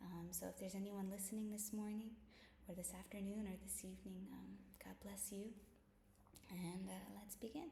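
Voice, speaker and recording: Soft-spoken and at a moderate pace, a woman talks amid noticeable background noise and audible room echo. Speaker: bible study vlogger. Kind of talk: casual chat; reading aloud. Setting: at home.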